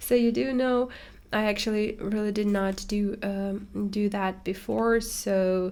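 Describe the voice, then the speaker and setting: A woman with a non-native accent speaks at a very slow pace. Her pitch is medium and her intonation fairly even. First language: not English. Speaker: watercolor artist and tutor. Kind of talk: casual chat while painting. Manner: halting, many fillers.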